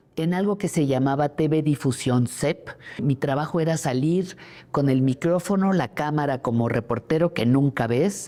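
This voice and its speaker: The voice has a dark, mellow tone and ordinary pitch variation. It moves at a fairly slow pace with very even loudness. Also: woman. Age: 70s. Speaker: journalist. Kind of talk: interview testimony.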